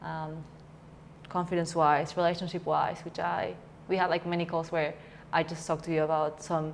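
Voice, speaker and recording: Speaking with a Spanish accent, a woman with a fairly low voice talks at a fairly quick pace in a monotone, flat intonation. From Peru. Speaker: coaching student. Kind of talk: interview. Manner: halting.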